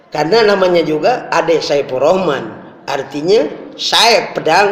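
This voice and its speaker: Amid audible room echo and noticeable background noise, a man with a high pitch talks at a fairly slow pace. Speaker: Islamic preacher. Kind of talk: sermon. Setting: mosque. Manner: forceful at times.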